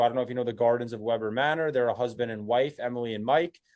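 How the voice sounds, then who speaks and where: Here a man with a New Jersey accent talks at a very fast pace. His pitch is medium and his intonation fairly even. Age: 20s. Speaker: agency owner. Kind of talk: sales call.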